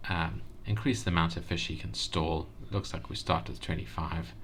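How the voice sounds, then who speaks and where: Mumbling with vocal fry, a man with a very deep, low pitch swings very widely in pitch. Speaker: game reviewer. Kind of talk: casual game review commentary. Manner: mumbling, hesitant.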